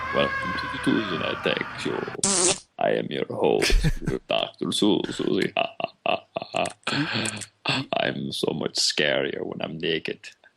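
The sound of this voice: Fairly slow delivery from a man using a put-on character voice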